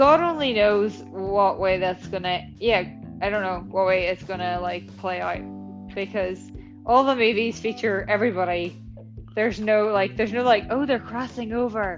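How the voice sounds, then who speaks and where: Music plays in the background as the speaker talks at a fairly slow pace in a Northern Irish accent. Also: woman. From Northern Ireland. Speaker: podcast co-host.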